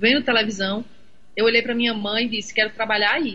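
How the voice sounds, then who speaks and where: Her voice sits at a fairly high pitch. A woman is the one talking. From Rio Grande do Norte, Seridó region. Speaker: journalist. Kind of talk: casual interview.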